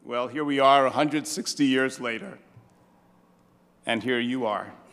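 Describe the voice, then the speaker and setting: In a Brooklyn accent, a man speaks with fairly even intonation. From New York, Brooklyn. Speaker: priest, head of religious order. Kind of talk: welcome speech. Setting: stage with audience at gala. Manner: hesitant, many uh fillers.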